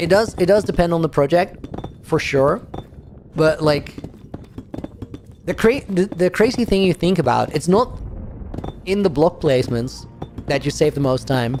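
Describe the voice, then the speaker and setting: The speaker has a Dutch accent and a moderate pace with long, frequent pauses, over noticeable background noise. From Netherlands. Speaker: gaming streamer. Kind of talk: livestream commentary. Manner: casual, animated.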